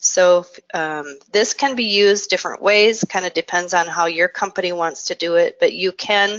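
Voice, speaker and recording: A woman speaks in an ordinary speaking voice. Her pitch sits fairly low, and her pace is fairly slow. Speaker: software trainer. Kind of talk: webinar software demo.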